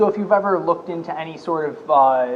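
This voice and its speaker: This man keeps a moderate pace, and noticeable background noise can be heard. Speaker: data scientist. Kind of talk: tutorial.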